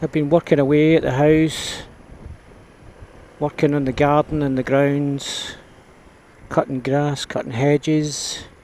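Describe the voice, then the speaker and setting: A man with a Scottish accent speaks at a fairly high pitch with monotone, flat intonation. His pace is fairly slow, with long, frequent pauses. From Scotland. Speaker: motorbike vlogger. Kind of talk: casual vlog narration. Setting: outdoors riding a scooter.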